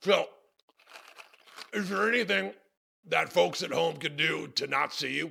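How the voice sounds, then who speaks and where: A man in a raspy, put-on character voice, fairly high pitch, moderate pace and long, frequent pauses. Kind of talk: comedy talk show interview. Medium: role play. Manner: brash, manic.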